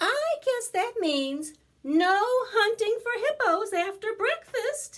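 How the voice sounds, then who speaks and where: In a squeaky, put-on character voice, a woman speaks very slowly at an extremely high pitch with very wide pitch swings. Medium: read story. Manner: teasing, warm.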